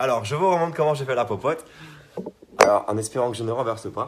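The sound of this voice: A man uses a raspy, put-on character voice at a medium pitch. He talks at a very fast pace.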